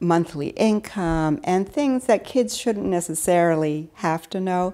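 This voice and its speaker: On a very clean recording with a silent background, a woman with an American accent and a dark, mellow tone speaks at a fairly slow pace. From Alexandria, Virginia, US. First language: Spanish. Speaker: translation business owner. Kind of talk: interview.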